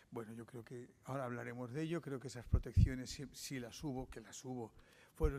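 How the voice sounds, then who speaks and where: At a fairly quick pace, a man with a medium pitch and a dark, mellow tone speaks in fairly even intonation. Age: 60s. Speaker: journalist giving a lecture. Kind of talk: lecture. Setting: conference with audience. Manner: halting.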